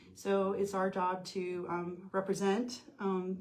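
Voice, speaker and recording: A woman with an American accent and medium pitch speaks in a monotone, flat intonation over noticeable background noise. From US, military family moving around. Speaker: nonprofit founder. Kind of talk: interview.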